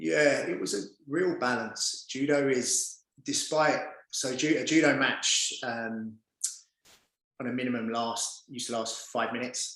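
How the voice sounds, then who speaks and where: A man talks fairly slowly at a medium pitch, with ordinary pitch variation. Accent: London. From East London, England. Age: 40s. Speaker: performance coach and former judo fighter. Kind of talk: podcast interview.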